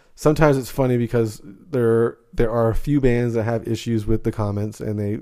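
Speaking at a fairly quick pace with hardly any pauses, a man with a medium pitch and a dark, mellow tone keeps his intonation fairly even. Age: 40s. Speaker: metal podcast host. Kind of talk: casual interview chat.

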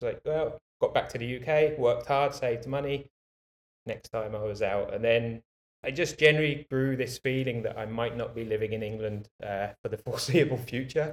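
Moderate-paced speech from a man, his pitch medium and his pitch variation ordinary. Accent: British. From UK. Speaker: bike rental business owner. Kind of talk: interview.

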